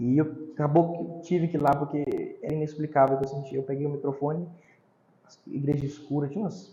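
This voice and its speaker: A man talks fairly quickly in a fairly high pitch. His intonation stays monotone and flat. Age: 20s. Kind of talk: casual interview.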